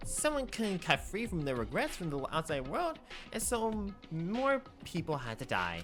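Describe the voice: Faint music plays behind a man doing a put-on character voice. He speaks at a moderate pace in a high pitch, with a fairly bright tone and very wide pitch swings.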